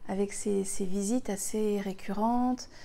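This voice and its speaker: A woman's dark, mellow tone at a fairly slow pace. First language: Spanish (speaking French). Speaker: spiritual healer, retreat leader. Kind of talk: personal spiritual talk to viewers. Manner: hesitant, many fillers and repetitions.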